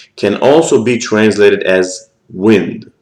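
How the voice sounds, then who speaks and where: A man with an Israeli accent is heard with audible room echo. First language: Hebrew. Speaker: scripture teacher. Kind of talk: lecture. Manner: halting.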